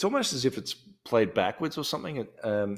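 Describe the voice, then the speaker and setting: The audio is very clean, with total silence behind the voice. The speaker is a man with an Australian accent. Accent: Australian, non-rhotic. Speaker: podcast host. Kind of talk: casual chat. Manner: hesitant, many ums and restarts.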